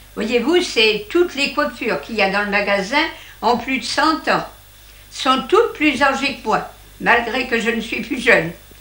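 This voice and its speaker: Amid audible room echo, a woman speaks with a high pitch and lively intonation, leaving long, frequent pauses. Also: fairly slow pace. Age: 80s+. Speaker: retired hat seller. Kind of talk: interview. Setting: in her old shop.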